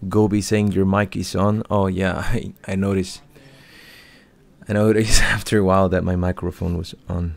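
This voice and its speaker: Speaking in a Spanish accent, a man with a very deep, low pitch keeps a monotone, flat intonation. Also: moderate pace. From Chile. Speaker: livestream commentator and interpreter. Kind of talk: live stream commentary with chat Q&A. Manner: halting, repeats words.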